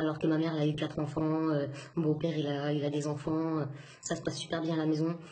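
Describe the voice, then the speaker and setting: A woman talks at a fairly quick pace in a fairly low pitch, somewhat breathy, with a dark, mellow tone. Room echo is audible. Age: 20s. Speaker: single mother. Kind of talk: testimony. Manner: halting.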